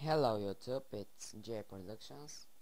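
There is audible room echo around the voice. It belongs to a man at a medium pitch. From Bulgaria. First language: Bulgarian. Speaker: gaming youtuber. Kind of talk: gameplay walkthrough. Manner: halting.

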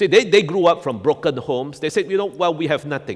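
The background stays quiet as a man speaks. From Singapore. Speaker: pastor. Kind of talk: sermon. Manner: repetitive filler 'all right?'.

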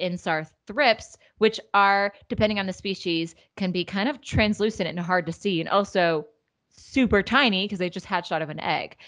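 Against a quiet background, a woman talks at a moderate pace. Her pitch varies in an ordinary way. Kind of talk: podcast explanation. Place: home room. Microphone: studio mic.

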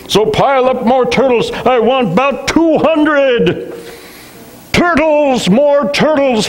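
A man's put-on character voice, extremely high in pitch and very slow in pace. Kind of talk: royal, thundering. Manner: bellowing, commanding.

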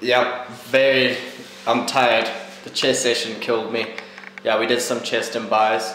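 Light background noise and audible room echo surround a man with monotone, flat intonation. He moves at a fairly slow pace and leaves long, frequent pauses. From Zimbabwe. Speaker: vlogger. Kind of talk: casual vlog. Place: home room. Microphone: phone near.

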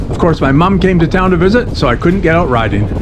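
With music in the background, a man talks very fast. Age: 50s. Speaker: recreational cyclist. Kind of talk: casual vlog narration.

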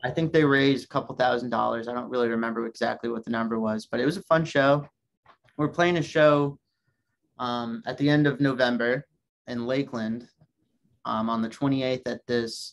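With fairly even intonation, a man talks at a fairly quick pace. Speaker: guest. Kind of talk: interview answer. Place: home room. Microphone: video call.

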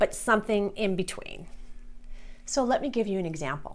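A woman speaks at a fairly quick pace in an enthusiastic tone. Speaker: business productivity specialist and meeting facilitator. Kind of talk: tutorial. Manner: occasional pauses and word switches. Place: studio. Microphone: lapel.

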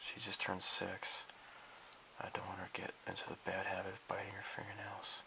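A man whispering at a fairly quick pace. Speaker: hobbyist video maker. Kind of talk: casual build tutorial. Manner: halting, many filler words.

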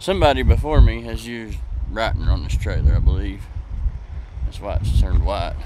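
Noticeable background noise, a man's fairly quick delivery, and a dry sound with no echo. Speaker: truck driver vlogger. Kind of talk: casual vlog chat. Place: street. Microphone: phone near.

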